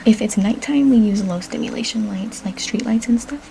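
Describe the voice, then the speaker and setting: A soft-spoken woman with a fairly high pitch talks at a moderate pace in a calm tone with ordinary pitch variation, over noticeable background noise. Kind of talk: ASMR medical roleplay, soft-spoken. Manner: soft-spoken, calm, reassuring.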